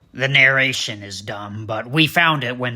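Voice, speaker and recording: A man's cartoonish character voice at a moderate pace. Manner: officious, deadpan.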